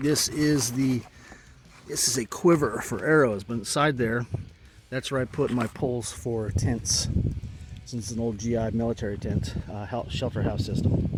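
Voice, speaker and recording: Pausing long and often, a man speaks at a fairly slow pace over noticeable background noise. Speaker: motorcycle camping vlogger. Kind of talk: show-and-tell vlog. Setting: outdoors. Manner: halting, many fillers.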